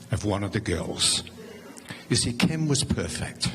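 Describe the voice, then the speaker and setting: Lively intonation comes through in an English accent, with audible room echo and noticeable background noise. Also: man. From England. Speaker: neighbor giving a eulogy. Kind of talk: memorial tribute. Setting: church memorial service.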